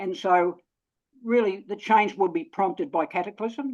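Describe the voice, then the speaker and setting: A moderate pace in a New Zealand accent. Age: 70s. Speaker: webinar participant. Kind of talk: online discussion. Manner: halting, repetitive.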